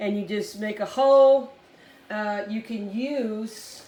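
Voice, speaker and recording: With audible room echo around her, a woman speaks at a fairly high pitch with fairly even intonation. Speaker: hobbyist insect breeder. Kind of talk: tutorial. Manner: casual, with fillers.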